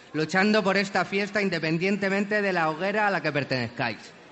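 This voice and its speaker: Over noticeable background noise, a man with a high pitch speaks at a fairly quick pace, his pitch varying in an ordinary way. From Alicante, Spain. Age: 20s. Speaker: actor. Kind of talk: festival proclamation speech. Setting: balcony before crowd.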